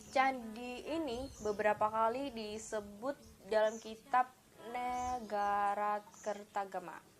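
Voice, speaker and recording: A woman's fairly high-pitched voice at a very slow pace, with music in the background. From Indonesia, Kediri, East Java. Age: 20s. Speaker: student. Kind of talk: educational presentation. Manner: halting.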